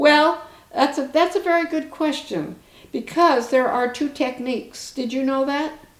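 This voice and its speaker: A woman speaks at a fairly slow pace with a high pitch and ordinary pitch variation. Music plays in the background. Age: 80s+. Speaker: harp teacher. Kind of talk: interview answer.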